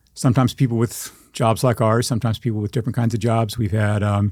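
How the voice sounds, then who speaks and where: A man's medium-pitched, somewhat breathy voice on a very clean recording with a silent background. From Texas panhandle. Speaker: journalist and writer. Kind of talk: interview.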